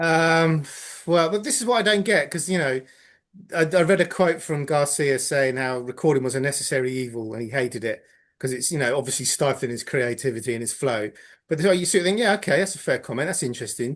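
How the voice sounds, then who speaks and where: A man in an English accent, fairly high in pitch, at a very fast pace with lively intonation and a quiet background. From England. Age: 50s. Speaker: podcast panelist. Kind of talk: casual chat.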